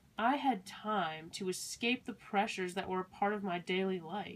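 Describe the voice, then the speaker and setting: Speaking in a plain, everyday voice, a woman has an American accent and medium pitch. Her pace is fairly slow. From US Midwest, Milwaukee, Wisconsin. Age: young. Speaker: college student. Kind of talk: scripted narration. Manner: measured.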